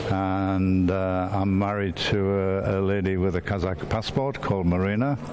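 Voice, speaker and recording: A man's very deep, low voice with fairly even intonation, very even loudness, hardly any pauses and audible room echo. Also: moderate pace. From England-Scotland border (Berwick-upon-Tweed). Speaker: teacher. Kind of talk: interview.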